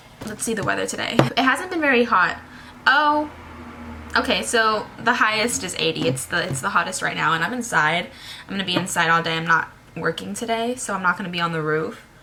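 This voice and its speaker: The voice moves at a fairly quick pace with very wide pitch swings. There is audible room echo and noticeable background noise. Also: woman, medium pitch for a woman. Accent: American. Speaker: beauty vlogger. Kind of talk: tutorial. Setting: indoors at home. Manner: casual, chatty.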